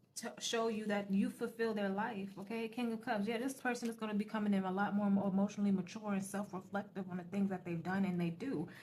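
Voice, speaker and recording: Somewhat breathy, a woman talks very fast at medium pitch. Her intonation is fairly even. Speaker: tarot reader. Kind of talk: tarot reading.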